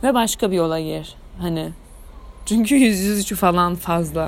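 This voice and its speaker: At a medium pitch and a moderate pace, a woman speaks in an animated tone with ordinary pitch variation. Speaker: student podcaster. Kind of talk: casual monologue. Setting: at home.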